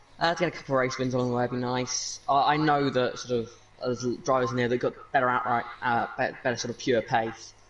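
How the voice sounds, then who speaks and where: Noticeable background noise sits behind a man talking at a very fast pace. His voice is medium in pitch and monotone, with flat intonation. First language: not English. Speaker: sim racing driver. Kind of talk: post-race interview.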